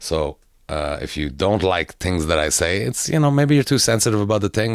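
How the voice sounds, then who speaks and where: A man with a Quebec accent speaks at a moderate pace, fairly low in pitch, with lively intonation. The recording is very clean, with a silent background. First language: French. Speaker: comedian. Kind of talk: casual chat. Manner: halting.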